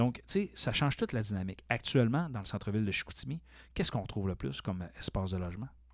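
A very fast man's voice of medium pitch, in a very clean recording with a silent background. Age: 40s. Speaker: college teacher and podcast host. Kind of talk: casual interview chat.

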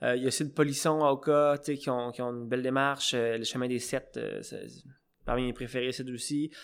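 A man with an ordinary speaking voice talks at a moderate pace and medium pitch in a very clean recording with a silent background. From Quebec, Eastern Townships. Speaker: cider maker. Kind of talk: casual interview. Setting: on site at the cidery.

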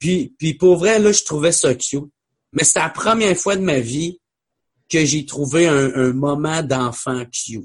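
Speaking at a very slow pace in a Quebec accent, a man has a fairly high pitch and ordinary pitch variation. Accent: Québécois French. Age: 20s. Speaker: comedian. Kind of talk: casual chat.

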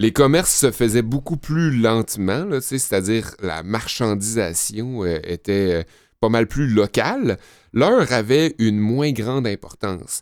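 Over a silent background in a very clean recording, a man talks very slowly at medium pitch with lively intonation. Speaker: podcast co-host. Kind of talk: informative segment; casual chat. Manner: calm.

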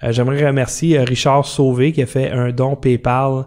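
Flat, monotone intonation at a very slow pace. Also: man. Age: 50s. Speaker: podcast host. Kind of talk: casual chat. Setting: studio. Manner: soft-spoken.

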